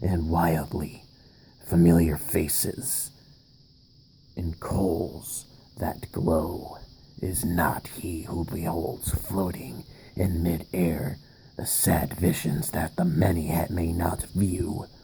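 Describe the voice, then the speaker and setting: A man puts on a character voice with a very deep, low pitch. He speaks at a very slow pace, with long, frequent pauses. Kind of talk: horror narration. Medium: read story. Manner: dramatic, halting.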